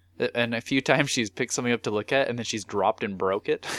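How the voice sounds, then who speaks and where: Recorded very cleanly against a silent background with a dry, close sound and no echo, a man speaks at a very fast pace. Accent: Canadian. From southern Manitoba, Canada. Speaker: retro gaming podcast co-host. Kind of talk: casual chat.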